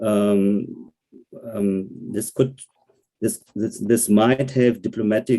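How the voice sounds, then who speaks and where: A man with a German accent speaks in a dark, mellow tone with fairly even intonation. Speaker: German member of parliament. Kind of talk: online panel discussion. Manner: halting, many repetitions and fillers.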